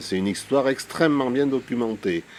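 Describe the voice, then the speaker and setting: The man keeps a moderate pace. His voice sits at a medium pitch. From France, Lozère (Gévaudan). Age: 60s. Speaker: retired teacher and local historian. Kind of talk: interview. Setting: at his home. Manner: hesitant.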